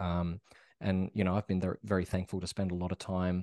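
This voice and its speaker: Over a quiet background, a man with an Australian accent talks at a moderate pace in a very deep, low voice, his tone dark and mellow, his intonation flat and monotone, the sound dry and close with no echo. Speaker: actor. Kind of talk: interview. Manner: halting.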